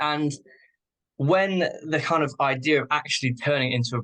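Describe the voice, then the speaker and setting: A man speaks at a moderate pace with a bright, sharp tone and ordinary pitch variation. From UK. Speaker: clothing brand founder. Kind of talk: casual podcast interview.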